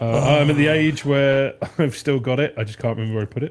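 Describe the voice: The pitch moves in an ordinary way. The delivery is plain reading aloud.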